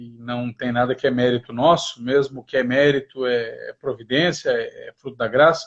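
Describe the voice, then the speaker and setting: Delivered at a moderate pace with hardly any pauses, an unremarkable speaking voice keeps a fairly even intonation while its loudness swings widely. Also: man, medium pitch for a man. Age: 40s. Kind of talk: livestream interview.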